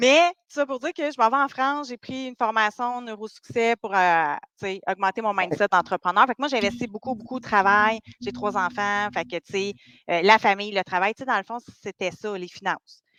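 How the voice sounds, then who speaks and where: In a Quebec accent, a woman speaks at a moderate pace with a fairly high, bright, sharp voice and lively intonation. The sound is dry and close with no echo, over a quiet background. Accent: Québécois French. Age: 40s. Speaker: dating coach. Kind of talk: podcast interview.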